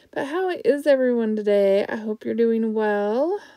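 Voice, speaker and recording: A woman's fairly high voice at a very slow pace, dry and close with no echo. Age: 60s. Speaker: art tutorial youtuber. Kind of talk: tutorial. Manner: casual, filler-heavy.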